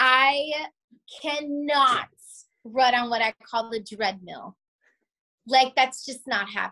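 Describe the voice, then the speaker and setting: Speaking very slowly in a raised, projected voice, a woman with a high pitch and a bright, sharp tone leaves long, frequent pauses, her pitch varying in an ordinary way, in a dry, close sound with no echo. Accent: American. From South Florida. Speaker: surgical tech and small business owner. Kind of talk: casual interview chat. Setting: video call. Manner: animated.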